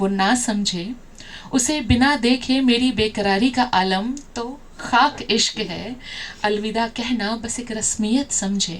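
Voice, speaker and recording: With ordinary pitch variation and a fairly high pitch, a woman's voice rises over noticeable background noise. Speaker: poet. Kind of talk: poetry reading. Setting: live open mic stage.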